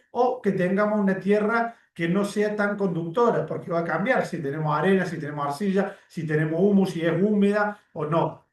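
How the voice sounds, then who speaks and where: Audible room echo surrounds a man whose high voice shows ordinary pitch variation. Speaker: teacher of occupational safety. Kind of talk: lecture. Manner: fast.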